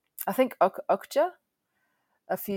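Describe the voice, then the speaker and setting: The sound is dry and close with no echo, on a very clean recording with a silent background. A woman speaks in an Australian accent at a fairly slow pace. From Adelaide, South Australia. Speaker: filmmaker and composer. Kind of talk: interview. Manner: hesitant with many fillers.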